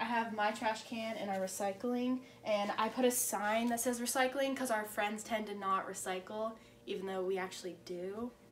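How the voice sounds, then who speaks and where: A woman speaks at a moderate pace with fairly even intonation. Light background noise sits underneath. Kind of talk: casual vlog chat. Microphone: phone near.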